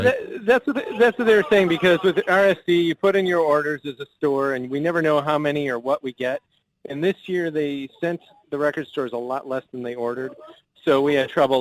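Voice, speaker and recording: A man with a plain, everyday voice speaks at a fairly quick pace and fairly high pitch, with ordinary pitch variation, the sound dry and close with no echo. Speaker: record store owner. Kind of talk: live phone call-in to radio show.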